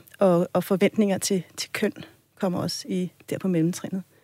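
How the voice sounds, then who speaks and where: Speaking at a moderate pace with an ordinary speaking voice, a woman uses a medium pitch in a dry, close sound with no echo. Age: 40s. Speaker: sex educator. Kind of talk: casual chat.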